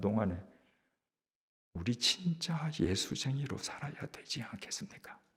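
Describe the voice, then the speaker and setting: Somewhat breathy and fairly high in pitch, a man speaks at a fairly slow pace with very wide pitch swings. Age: 70s. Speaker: pastor. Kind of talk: sermon.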